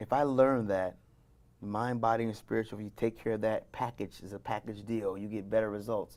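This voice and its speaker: Recorded very cleanly against a silent background, a man speaks at medium pitch with ordinary pitch variation. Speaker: wellness business founder. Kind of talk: interview. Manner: fast.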